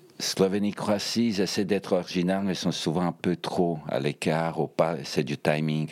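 A man with a former Yugoslav accent and a very deep, low pitch, at a fairly slow pace with fairly even intonation and hardly any pauses. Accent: ex-Yugoslav accent in French. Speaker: Eurovision fan guest. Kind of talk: casual chat.

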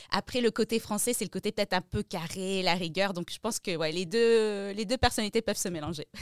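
A woman with an ordinary speaking voice talks at a medium pitch and a fairly quick pace, with hardly any pauses and ordinary pitch variation. The recording is very clean with a silent background, and the sound is dry and close with no echo. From France, Strasbourg. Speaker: music journalist and press attaché. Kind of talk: interview.

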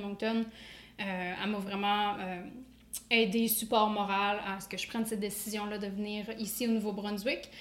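Against noticeable background noise and audible room echo, a woman speaks at a moderate pace and medium pitch with monotone, flat intonation. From Quebec. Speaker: dietitian. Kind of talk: casual interview.

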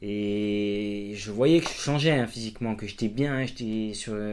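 Against noticeable background noise, a man speaks very slowly at a fairly low pitch with fairly even intonation. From Corsica. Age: 30s. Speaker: amateur trail runner and cyclist, electrician. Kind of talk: interview, casual chat. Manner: hesitant, many fillers.

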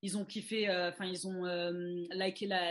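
A woman speaking at a fairly slow pace. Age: 20s. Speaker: commercial model. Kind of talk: casual chat. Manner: halting.

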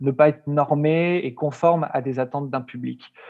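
Speaking at a fairly slow pace, the man uses a fairly high pitch and fairly even intonation. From France, Lyon. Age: 30s. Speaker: book publisher. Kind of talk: interview. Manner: halting, many repeated words.

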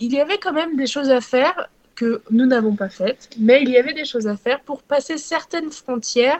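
A woman's high-pitched voice. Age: 20s. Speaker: cycling traveller. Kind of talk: podcast interview.

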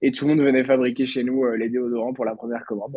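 Man at medium pitch, talking at a very fast pace. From Brittany, France (Lannion). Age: 20s. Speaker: entrepreneur. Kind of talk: interview.

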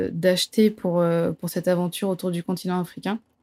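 Her fairly low voice stays monotone and flat in intonation as the woman talks. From southern France. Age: 20s. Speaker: travel reporter. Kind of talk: interview testimony. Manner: halting, many repetitions and fillers.

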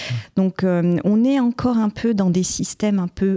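A woman speaks at a fairly slow pace with ordinary pitch variation. Her tone is dark and mellow, and the sound is dry and close with no echo. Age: 30s. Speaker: trainee chartered accountant and entrepreneur. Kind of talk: podcast interview.

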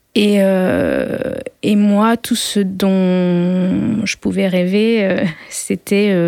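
This woman's voice has a medium pitch and a dark, mellow tone. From rural France. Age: 30s. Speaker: sound engineering student, bullying survivor. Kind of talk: testimony. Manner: halting, many hesitations and repeated words.

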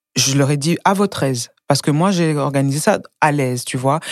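Her pitch is very deep and low. The woman shows ordinary pitch variation. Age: young. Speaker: independent cook and entrepreneur. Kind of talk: casual chat.

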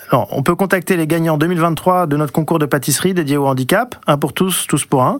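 A man at a fairly quick pace with hardly any pauses and ordinary pitch variation. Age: 40s. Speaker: company operations director. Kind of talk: scripted radio guest talk.

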